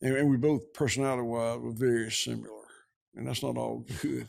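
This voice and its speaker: With a Georgia accent, a man talks at a fairly quick pace. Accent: southern US (Georgia). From US South. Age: 60s. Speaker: rancher. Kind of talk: interview conversation.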